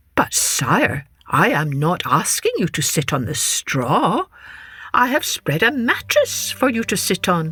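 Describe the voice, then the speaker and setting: Someone uses a put-on character voice at a middle pitch, talking at a fairly slow pace. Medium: read story. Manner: calm, falsely humble.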